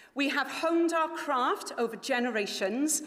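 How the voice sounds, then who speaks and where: With a Welsh accent, a woman speaks fairly slowly and with lively intonation in a room with audible echo. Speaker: company director presenting at a launch event. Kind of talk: formal event speech. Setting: stage with live audience in a palace hall. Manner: formal.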